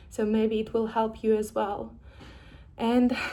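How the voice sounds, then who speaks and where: Speaking very slowly in a fairly high pitch, a woman is heard with audible room echo. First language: not English. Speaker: vlogger sharing personal experience. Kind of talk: personal vlog, reflective monologue. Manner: halting, with fillers and restarts.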